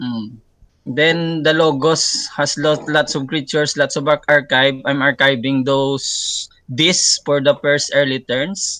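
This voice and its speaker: Very slow speech comes from a man with a fairly high pitch, fairly even intonation and a bright, sharp tone. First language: not English. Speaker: card game player. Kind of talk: casual interview. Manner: halting.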